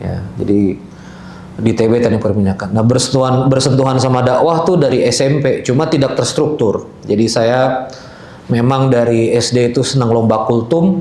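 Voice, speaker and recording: Over audible room echo, a man talks at a moderate pace. His loudness is very even and his pitch variation ordinary. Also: medium pitch for a man. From Balikpapan, East Kalimantan, Indonesia (Banjar family). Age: 40s. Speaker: Islamic speaker. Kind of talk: religious talk. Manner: casual, conversational.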